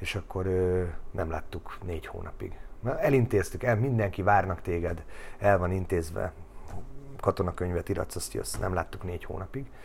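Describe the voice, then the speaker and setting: A man speaks with a very deep, low pitch and a somewhat breathy voice. His pace is moderate, with ordinary pitch variation. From Hungary, Budapest area. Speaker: ice hockey coach. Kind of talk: casual interview.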